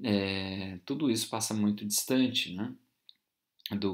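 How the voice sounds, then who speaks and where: Recorded very cleanly over a silent background, a man with a Brazilian accent speaks at a fairly low pitch with fairly even intonation. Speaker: university lecturer. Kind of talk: lecture. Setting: recorded video class. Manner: informal, hesitant with fillers.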